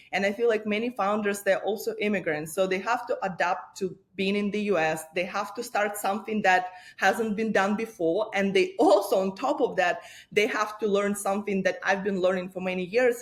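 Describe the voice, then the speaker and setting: A woman with a Russian accent speaks at a moderate pace and medium pitch, her intonation fairly even, against noticeable background noise. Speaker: lawyer and startup founder. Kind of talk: interview.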